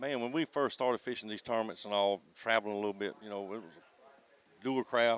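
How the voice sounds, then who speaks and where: Fairly low-pitched, a man with an American accent speaks at a very fast pace with fairly even intonation. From South Carolina, Santee Cooper swamp area. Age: 60s. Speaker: crappie tournament angler. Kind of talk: casual interview chat.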